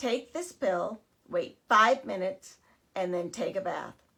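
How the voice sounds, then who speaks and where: Putting on a character voice, a woman speaks at a medium pitch in a raspy tone with lively intonation and a fairly slow pace. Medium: read story. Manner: calm, instructive.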